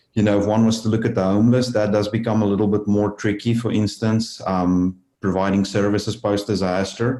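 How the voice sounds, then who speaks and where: A man with a non-native accent speaks fairly quickly at a fairly low pitch with a dark, mellow tone, hardly pausing. His intonation is monotone and flat, his loudness very even. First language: not English. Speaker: disaster trauma researcher. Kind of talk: interview. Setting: podcast interview.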